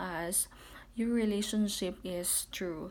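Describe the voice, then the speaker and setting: Someone with a Filipino accent speaks at a very slow pace, with audible room echo. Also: woman. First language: Tagalog. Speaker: vlogger. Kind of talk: casual personal account. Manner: halting, many fillers.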